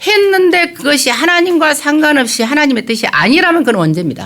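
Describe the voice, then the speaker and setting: A very fast pace against noticeable background noise. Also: woman. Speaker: pastor. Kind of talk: sermon. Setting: church. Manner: hesitant, many filler sounds.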